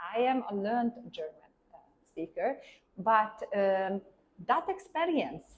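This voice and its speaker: A woman speaks at a moderate pace with a fairly high pitch and very wide pitch swings. Her speech has long, frequent pauses. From Hungary. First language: Hungarian. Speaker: German teacher and classical Indian dancer. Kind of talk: interview. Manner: halting.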